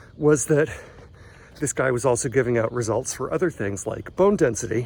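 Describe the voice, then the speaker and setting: There is a somewhat breathy quality to this man's voice. He speaks at a moderate pace. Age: 60s. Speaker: fitness vlogger. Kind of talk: casual vlog talk.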